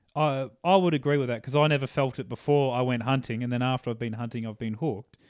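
At a very fast pace, a man with an Australian accent speaks at medium pitch with ordinary pitch variation. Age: 20s. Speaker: hunter and pipe layer. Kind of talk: casual interview. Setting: home studio, in person.

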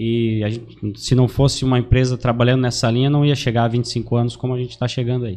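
A man at medium pitch with a dark, mellow tone, monotone and flat, at a very fast pace. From Santa Catarina highlands, Brazil (Lages). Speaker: credit agent. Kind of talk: casual podcast interview.

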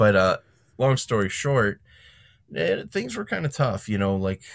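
A man has an ordinary speaking voice with ordinary pitch variation, in a very clean recording with a silent background. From Chicago area, Illinois (Calumet City). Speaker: lawn care business owner and podcaster. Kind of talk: casual interview.

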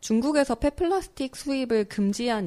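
Captured in a very clean recording with a silent background, a woman speaks at a moderate pace. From Seoul. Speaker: environmental campaigner. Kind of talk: casual chat. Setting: studio.

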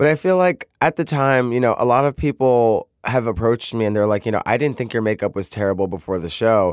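In an American accent, a man with an ordinary speaking voice talks fairly quickly at a medium pitch, with lively intonation and hardly any pauses, on a very clean recording with a silent background and a dry, close sound with no echo. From US Northeast (Brooklyn, New York). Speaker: drag queen, reality show contestant. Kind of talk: casual interview.

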